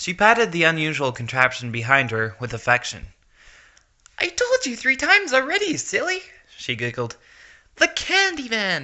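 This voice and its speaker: A moderate pace is interrupted again and again by long pauses. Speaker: narrator. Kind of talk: dramatic reading of fan fiction.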